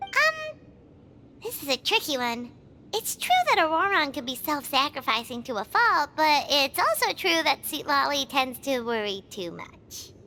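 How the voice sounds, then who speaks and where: High-pitched put-on character voice delivered at a moderate pace. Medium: video game. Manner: curious, eager.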